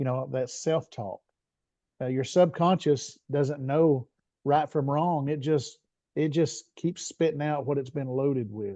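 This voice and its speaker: A man with a slight Southern US accent speaks at a fairly slow pace and fairly high pitch, his tone dark and mellow, the sound dry and close with no echo against a quiet background. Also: ordinary pitch variation. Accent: bit of a Southern. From Tennessee, US South. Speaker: business strategist and leadership coach. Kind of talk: interview conversation. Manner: hesitant, many fillers and repeats.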